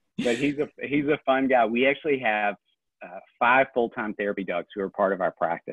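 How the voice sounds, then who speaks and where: With a strong Southern US accent, a man speaks with ordinary pitch variation. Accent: thick Southern US. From Tennessee, small town south of Nashville. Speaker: family therapist. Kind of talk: interview.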